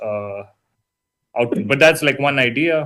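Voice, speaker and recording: With a strong Indian accent, the speaker moves at a fairly quick pace. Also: man. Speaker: university lecturer. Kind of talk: lecture. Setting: online session. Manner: casual, hesitant with fillers.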